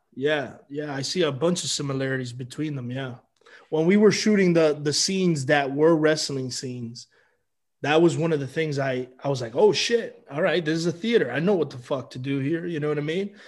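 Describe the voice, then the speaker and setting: In a quiet background, a man with an ordinary speaking voice, fairly high pitch and ordinary pitch variation talks at a fairly quick pace. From Miami, Florida (Cuban-American). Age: 30s. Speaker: actor. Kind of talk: casual chat.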